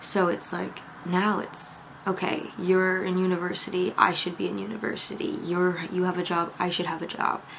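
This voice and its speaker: A woman at medium pitch, monotone and flat, at a moderate pace over noticeable background noise. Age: 20s. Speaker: YouTube creator and podcast host. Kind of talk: casual vlog talk to camera. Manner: calm, chatty.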